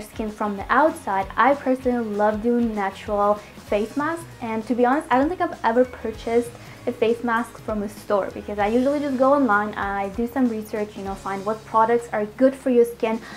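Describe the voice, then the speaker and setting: Against noticeable background noise, a woman with a Russian accent talks at a fairly quick pace in a fairly high pitch with ordinary pitch variation. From Moscow, Russia. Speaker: healthy food vlogger. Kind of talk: casual Q&A vlog. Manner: friendly, chatty.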